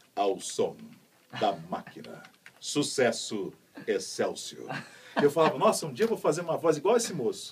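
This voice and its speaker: Lively, fairly quick speech from a man. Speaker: voice actor. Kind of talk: interview answer. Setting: radio studio.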